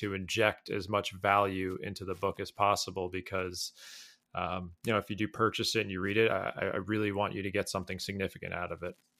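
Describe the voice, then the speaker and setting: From a very clean recording with a silent background comes a man with a fairly low pitch and bright, sharp tone, speaking at a fairly quick pace in a monotone, flat intonation. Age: 30s. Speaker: golf author and writer. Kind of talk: podcast interview.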